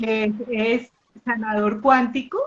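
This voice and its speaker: This woman's voice sits fairly high in pitch. It comes across somewhat breathy. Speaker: pendulum teacher and live host. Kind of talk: live online interview introduction. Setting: live video stream. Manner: conversational, with fillers.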